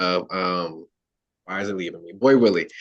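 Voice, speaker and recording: A man with fairly even intonation. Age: 20s. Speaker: actor. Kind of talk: self-introduction in workshop. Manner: halting, many fillers.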